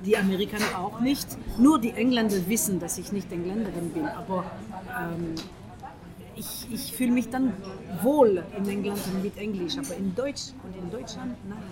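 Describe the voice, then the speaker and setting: A speaker with a French accent leaves long, frequent pauses, and the loudness swings widely. The recording has noticeable background noise and audible room echo. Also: woman, medium pitch for a woman, ordinary pitch variation, moderate pace. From France. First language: French (speaking German). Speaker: interviewee. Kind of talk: casual interview. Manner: halting, with many hesitations.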